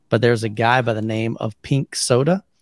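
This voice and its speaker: Recorded very cleanly with a silent background and a dry, close sound free of echo, a man with a plain, everyday voice speaks at a moderate pace with fairly even intonation. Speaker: home theater podcast co-host. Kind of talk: casual chat.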